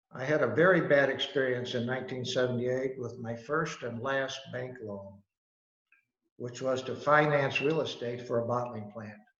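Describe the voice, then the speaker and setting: With audible room echo, a man at medium pitch talks at a moderate pace with fairly even intonation. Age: 80s+. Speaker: business founder, company chairman. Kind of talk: prepared talk. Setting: video call.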